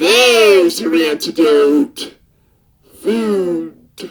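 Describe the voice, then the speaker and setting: At a middle pitch, the speaker puts on a character voice. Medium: dub. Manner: sarcastic, exasperated.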